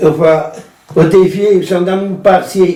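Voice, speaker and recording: A man talks against noticeable background noise. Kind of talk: casual group conversation.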